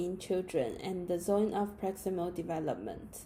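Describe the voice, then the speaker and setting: The voice is dark, mellow and somewhat breathy, speaking at a moderate pace with a Chinese accent. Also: woman. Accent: Mandarin Chinese-accented English. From China. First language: Mandarin. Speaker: student. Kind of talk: class presentation. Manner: read from script.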